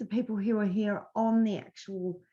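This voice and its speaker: Somewhat breathy and fairly high in pitch, a woman speaks at a fairly slow pace. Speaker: business coach. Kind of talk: webinar presentation. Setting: live webinar.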